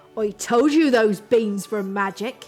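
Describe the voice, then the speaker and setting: A woman growls in a put-on character voice at a fairly high pitch, speaking at a fairly slow pace over faint background music. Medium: read story.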